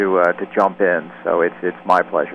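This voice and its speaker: Speaking at a moderate pace, a man is heard. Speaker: flute musician. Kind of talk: radio interview. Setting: phone call.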